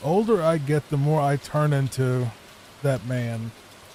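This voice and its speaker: Someone with an American accent speaks with ordinary pitch variation against noticeable background noise. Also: man. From Virginia, US. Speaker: gaming streamer. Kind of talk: casual gameplay commentary. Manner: laid back, soft-spoken; calm, relaxing.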